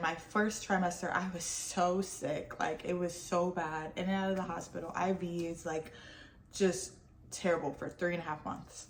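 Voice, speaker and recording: Over noticeable background noise, a woman with a fairly low pitch speaks at a moderate pace in a monotone, flat intonation. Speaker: lifestyle vlogger. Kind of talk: casual vlog talk to camera. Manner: halting, stumbling over words.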